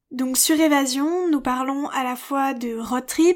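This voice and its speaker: Her high-pitched voice, with fairly even intonation, is captured on a very clean recording against a silent background. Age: 20s. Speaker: podcaster. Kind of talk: scripted self-presentation.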